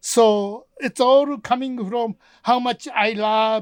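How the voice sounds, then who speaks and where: The recording is very clean and dry, with a silent background and no echo. A man speaks at a high pitch in a Japanese accent. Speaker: film producer and podcast co-host. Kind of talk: casual chat.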